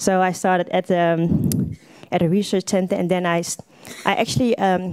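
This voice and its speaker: Her pace is fairly quick. The woman's tone is dark and mellow, her pitch medium. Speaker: DJ and market researcher. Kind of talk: panel talk. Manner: unprepared, halting.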